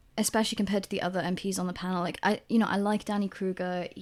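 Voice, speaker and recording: A woman with a Welsh accent at medium pitch and a very fast pace, on a very clean recording with a silent background. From South Wales. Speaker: podcast co-host. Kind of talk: casual chat. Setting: recording away from usual studio, indoors.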